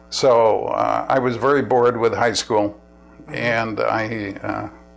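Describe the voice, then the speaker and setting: A man in an American accent at a very slow pace, with music in the background. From New York City. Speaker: war veteran. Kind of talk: oral history interview. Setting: at home. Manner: halting, with restarts.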